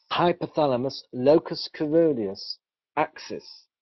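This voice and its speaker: A man with a British accent at a fairly slow pace, with ordinary pitch variation. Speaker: doctor presenting research. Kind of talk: webinar presentation. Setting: online webinar.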